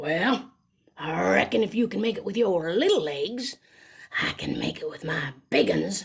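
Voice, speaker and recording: A woman's put-on character voice at medium pitch and moderate pace. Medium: read story. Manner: slow, gloating.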